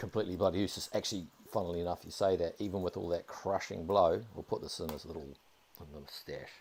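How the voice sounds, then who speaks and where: In a New Zealand accent, the speaker's loudness swings widely, broken up by long, frequent pauses. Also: man. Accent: New Zealand accent, similar to Australian. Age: 30s. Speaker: video game streamer. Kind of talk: casual live-stream commentary.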